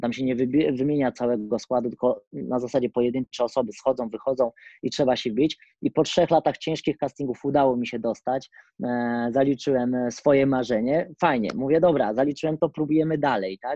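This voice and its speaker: Speaking at a fairly quick pace, a man with a plain, everyday voice keeps a medium pitch and ordinary pitch variation. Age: 30s. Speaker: acrobat and acrobatics coach. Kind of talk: interview.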